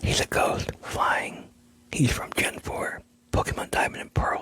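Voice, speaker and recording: A man whispers at a very slow pace. There is noticeable background noise. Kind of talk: ASMR whispered storytelling about video game lore. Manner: whispered.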